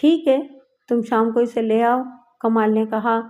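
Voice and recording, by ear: Someone is reading aloud in a natural voice, with fairly even intonation. The background is quiet.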